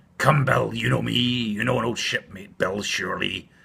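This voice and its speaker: Put-on character voice from a man, raspy, medium in pitch, at a moderate pace. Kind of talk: bedtime story. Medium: read story. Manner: wheedling, leering.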